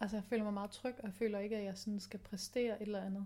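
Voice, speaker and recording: Speaking at a very fast pace, a woman has a fairly high pitch and a dark, mellow tone. Her voice is somewhat breathy, with monotone, flat intonation. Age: 30s. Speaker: podcast host. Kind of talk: personal diary podcast. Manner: hesitant, many fillers.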